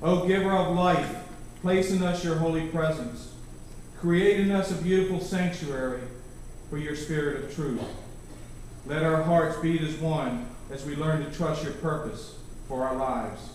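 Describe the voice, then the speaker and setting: Amid strong room echo and light background noise, a man talks at a moderate pace with fairly even intonation and long, frequent pauses. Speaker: scripture reader in a choir program. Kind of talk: scripture reading and prayer. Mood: solemn, reverent. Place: church.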